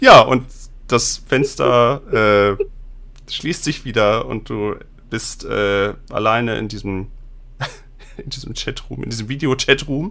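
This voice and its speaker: The man speaks at a very slow pace with long, frequent pauses. His loudness swings widely. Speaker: game master and podcast host. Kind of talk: tabletop roleplay narration. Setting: online recording.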